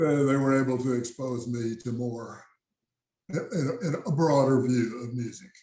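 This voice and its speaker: A man speaks with an American accent in a dark, mellow tone. His voice is somewhat breathy, and his intonation is fairly even. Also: medium pitch for a man, moderate pace. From South Texas. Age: 80s+. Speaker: jazz musician and engineer. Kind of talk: interview. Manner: halting, many fillers.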